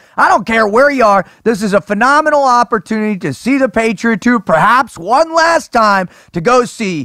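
In a dry, close sound with no echo, a man with an extremely high pitch uses a raised, projected voice, a bright, sharp tone and lively intonation at a moderate pace. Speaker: podcast host. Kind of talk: casual chat. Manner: animated.

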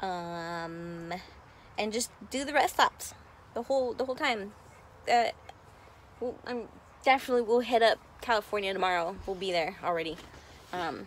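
The sound is dry with no echo, with light background noise. A woman speaks at a moderate pace with ordinary pitch variation. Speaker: RV traveler vlogger. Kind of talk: casual vlog chat. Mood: relaxed, cheerful. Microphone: phone near.

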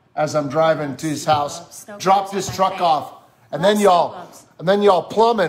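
A man's high voice moves at a moderate pace, its pitch varying in an ordinary way. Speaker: church pastor co-host. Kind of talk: casual live-stream chat. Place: home room. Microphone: studio mic.

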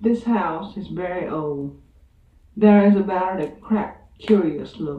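Fairly slow speech with audible room echo. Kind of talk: literary reading. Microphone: old recording.

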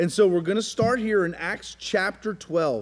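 Over music in the background, a man with a high pitch talks at a moderate pace. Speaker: pastor leading Bible study. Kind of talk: sermon. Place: church.

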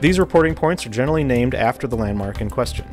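A man talks while faint music sounds in the background. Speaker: air traffic control instructor. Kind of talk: tutorial. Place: studio. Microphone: lapel.

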